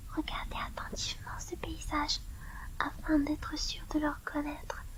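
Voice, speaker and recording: A soft-spoken woman talks at a very slow pace. There is noticeable background noise. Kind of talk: book reading.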